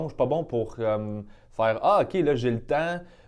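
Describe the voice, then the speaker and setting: This is a man with a medium pitch and a plain, everyday voice. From Quebec, South Shore of Montreal (Sainte-Julie). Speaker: comedian. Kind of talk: casual chat.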